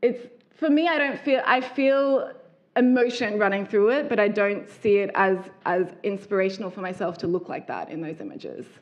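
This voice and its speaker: A woman with an Australian accent, a fairly high pitch, lively intonation, a moderate pace and big swings in loudness. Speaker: fashion designer. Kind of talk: public talk.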